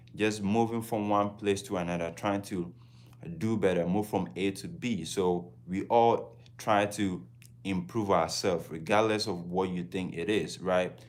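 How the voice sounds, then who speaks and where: A man speaks in a Ghanaian accent at a fairly slow pace. His pitch varies in an ordinary way. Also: fairly low pitch for a man. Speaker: travel vlogger. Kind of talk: casual livestream talk.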